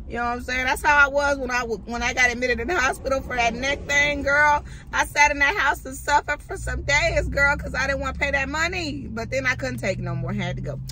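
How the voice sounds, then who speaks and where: Speech rushes along very quickly while noticeable noise sits in the background. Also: hardly any pauses. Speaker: lifestyle vlogger. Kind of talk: casual vlog chat. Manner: fast.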